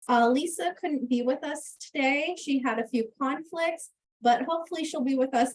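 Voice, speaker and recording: Lively intonation at a moderate pace. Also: woman. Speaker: economist. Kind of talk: webinar presentation.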